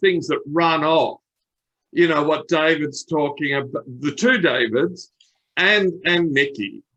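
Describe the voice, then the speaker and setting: A man talks at a fairly slow pace with a fairly high pitch. He has an unremarkable speaking voice. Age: 60s. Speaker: optimism trainer. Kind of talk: panel discussion.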